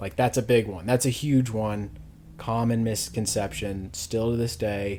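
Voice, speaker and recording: A man talks at a fairly slow pace in a fairly low pitch. He has a plain, everyday voice. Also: ordinary pitch variation. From US South, Louisville, Kentucky. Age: 30s. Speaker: podcast guest. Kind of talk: casual chat.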